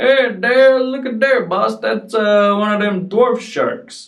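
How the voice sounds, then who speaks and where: A put-on character voice with a fairly high pitch goes along at a fairly slow pace. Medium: read story.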